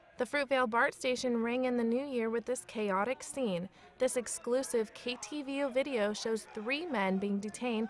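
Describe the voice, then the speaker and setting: Noticeable background noise sits under a woman speaking at a moderate pace with a fairly high pitch and ordinary pitch variation. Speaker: TV news reporter. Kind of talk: TV news package narration.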